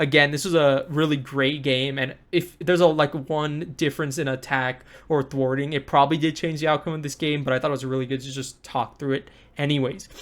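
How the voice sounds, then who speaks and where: Fairly quick and fairly high-pitched, a man speaks with fairly even intonation on a very clean recording with a silent background. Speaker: board game content creator. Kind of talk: gameplay commentary. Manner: fast.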